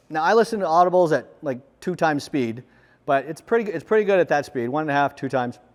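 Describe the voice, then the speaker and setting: A loud man at a very fast pace. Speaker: conference speaker. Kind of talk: conference talk. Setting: stage with audience. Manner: loud, projecting.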